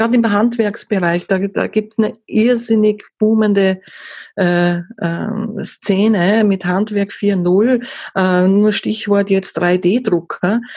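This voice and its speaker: Speaking very slowly in an Austrian accent, a woman uses a medium pitch and a dark, mellow tone. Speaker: content marketing consultant. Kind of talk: interview. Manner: halting, many fillers.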